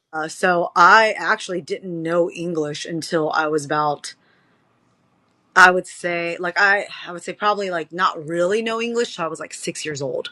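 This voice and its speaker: A woman with an American accent speaks at a moderate pace in a fairly low pitch and a bright, sharp tone, with ordinary pitch variation and big swings in loudness. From Charlottesville, Virginia, US. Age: 40s. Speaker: power slap fighter, former pro wrestler. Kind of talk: interview.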